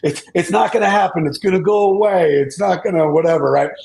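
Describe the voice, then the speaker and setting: The speaker is a man with ordinary pitch variation. He moves along at a fairly quick pace. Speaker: data security consultant. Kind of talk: panel discussion. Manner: halting, repeats words.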